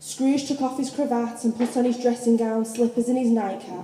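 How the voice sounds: A woman speaks at a fairly high pitch in a dark, mellow tone. Audible room echo surrounds her voice.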